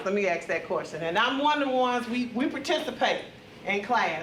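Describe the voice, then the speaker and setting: A woman talking at a fairly quick pace with lively intonation, audible room echo and noticeable background noise. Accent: Mississippi. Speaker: retired corrections officer and mental health trainer. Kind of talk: conference talk. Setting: conference room with audience. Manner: loud.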